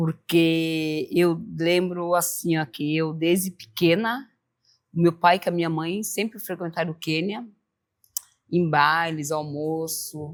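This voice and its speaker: The speaker talks at a very slow pace with fairly even intonation. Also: woman, fairly low pitch for a woman. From southern Brazil, Joinville, Santa Catarina. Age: 50s. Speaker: samba dancer, club member. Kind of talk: group interview.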